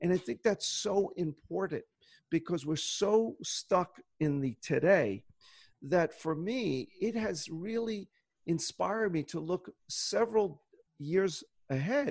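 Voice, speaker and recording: At a very slow pace, a high-pitched man speaks with lively intonation, the sound dry and close with no echo over a quiet background. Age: 60s. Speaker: optometrist and goal-setting workshop leader. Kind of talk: interview conversation.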